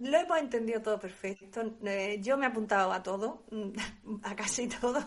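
A woman speaks at a fairly high pitch. Noticeable background noise runs under her voice. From Andalusia, Spain. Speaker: radio host. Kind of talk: casual chat. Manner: halting, many repetitions.

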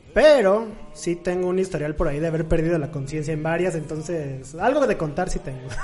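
Fairly quick speech amid noticeable background noise. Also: man. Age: 20s. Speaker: podcast guest. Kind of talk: casual chat.

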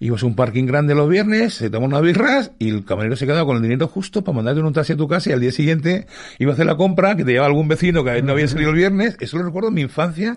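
The speech races at a very fast pace with hardly any pauses, lively intonation and very even loudness. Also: man, fairly high pitch for a man. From Australia, born in Madrid. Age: 50s. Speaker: music photographer. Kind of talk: interview. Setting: studio.

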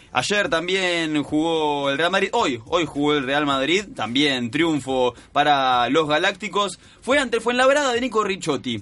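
Bright and sharp in tone, a man's fairly high voice goes at a fairly slow pace with very wide pitch swings and hardly any pauses. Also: very even loudness. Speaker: sports radio co-host. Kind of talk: sports news roundup.

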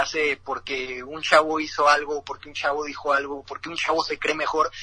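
A man with a fairly high pitch at a moderate pace. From northern Mexico, Ciudad Juárez. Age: 20s. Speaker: freestyle rapper. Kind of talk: interview.

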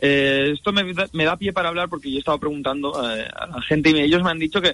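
The man's fairly high voice races along at a very fast pace with ordinary pitch variation. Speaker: foreign correspondent journalist. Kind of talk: radio news report.

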